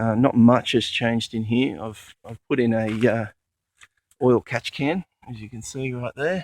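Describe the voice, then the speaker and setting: Speaking at a fairly slow pace with an Australian accent, a man keeps a medium pitch and fairly even intonation in a dry, close sound with no echo. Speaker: four-wheel drive enthusiast. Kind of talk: casual vehicle walkaround talk to camera. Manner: hesitant, many fillers.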